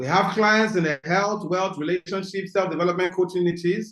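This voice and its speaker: A man speaks in a high pitch with a Nigerian accent. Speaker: business coach. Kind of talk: webinar talk.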